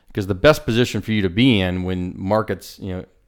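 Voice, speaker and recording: An unremarkable speaking voice at a fairly quick pace, with ordinary pitch variation and a very clean recording against a silent background. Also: man. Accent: American. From US West Coast, San Diego. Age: 40s. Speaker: real estate developer. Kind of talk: casual interview.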